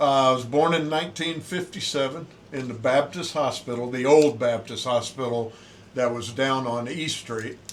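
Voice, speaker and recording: In a Southern US accent, a man talks at a moderate pace and a medium pitch. His intonation is fairly even, and there is noticeable background noise. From US South, Pensacola, Florida. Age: 60s. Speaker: Navy swim and fitness instructor, former SEAL. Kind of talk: casual interview.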